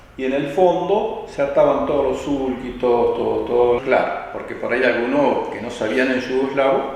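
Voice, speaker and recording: The speech moves at a moderate pace with ordinary pitch variation, with audible room echo and noticeable background noise. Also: man. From Argentina, Buenos Aires province (Baradero). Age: 70s. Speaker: church elder. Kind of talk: interview testimony.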